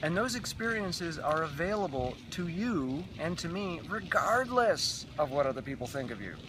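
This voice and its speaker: Amid noticeable background noise and audible room echo, a man with a high pitch talks at a moderate pace, with very wide pitch swings and hardly any pauses. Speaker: raw food runner and vlogger. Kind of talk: casual interview. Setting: outdoors in the sunshine. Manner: halting.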